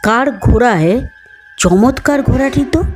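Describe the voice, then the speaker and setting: Faint music behind a female-sounding, put-on character voice at a fairly high pitch. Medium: read story. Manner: mild, polite.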